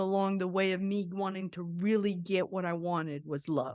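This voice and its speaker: An unremarkable speaking voice from a woman with an American accent, medium in pitch and moderate in pace, on a very clean recording with a silent background and a dry, close sound with no echo. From Colombia, then US East Coast. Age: 60s. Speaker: Air Force veteran. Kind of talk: podcast interview.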